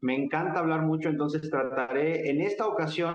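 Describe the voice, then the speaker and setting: Intonation is fairly even throughout. The speed stays moderate. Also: man. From Mexico. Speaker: political activist and lecturer. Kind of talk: interview conversation.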